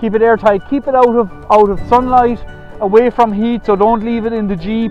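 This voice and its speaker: A high-pitched man talks at a moderate pace with fairly even intonation. The sound is dry with no echo, and faint music plays in the background. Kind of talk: tutorial. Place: farm machine.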